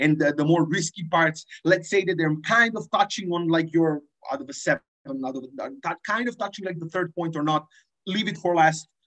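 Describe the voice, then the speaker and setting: Against a quiet background, a man speaks at a moderate pace and high pitch with ordinary pitch variation. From Serbia. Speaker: debater giving a workshop. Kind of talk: lecture. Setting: video call. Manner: informal, hesitant with many fillers. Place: home room. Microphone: video call.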